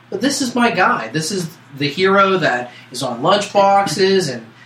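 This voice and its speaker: Amid noticeable background noise, a man's high voice makes very wide pitch swings. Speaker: podcast co-host. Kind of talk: casual podcast chat.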